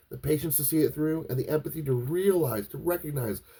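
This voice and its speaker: Fairly quick and somewhat breathy, a man speaks at a fairly high pitch with a dark, mellow tone. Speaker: podcast host. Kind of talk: philosophical monologue. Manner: fast; halting, repetitive starts.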